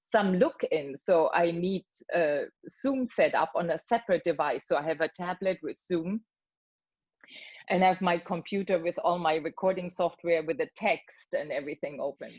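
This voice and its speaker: Speaking at a moderate pace, a woman with an ordinary speaking voice has a fairly low pitch and ordinary pitch variation. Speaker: voice actor. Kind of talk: interview answer. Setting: video call.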